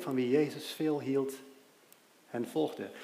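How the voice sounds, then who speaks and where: A man with a fairly high pitch speaks very slowly. Audible room echo and noticeable background noise are present. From Aruba. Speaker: lay preacher. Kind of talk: sermon.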